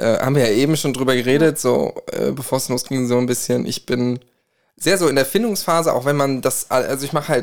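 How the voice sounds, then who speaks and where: Talking very fast, the man keeps a medium pitch and ordinary pitch variation. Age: 20s. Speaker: co-host, music student and singer. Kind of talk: casual chat.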